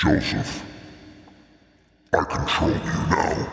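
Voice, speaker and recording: A man does a put-on character voice that is booming, resonant and raspy, pitched fairly low, with a clear echo around it. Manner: commanding, ominous.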